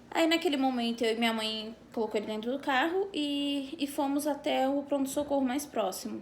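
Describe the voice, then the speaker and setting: A woman talks at a moderate pace with ordinary variation in her pitch. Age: 20s. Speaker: mother sharing family story. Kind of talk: personal testimony vlog. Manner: hesitant, many fillers.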